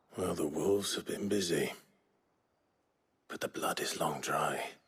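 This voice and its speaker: Using a put-on character voice, a man speaks raspy and fairly low at a moderate pace. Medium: video game. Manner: measured, grave.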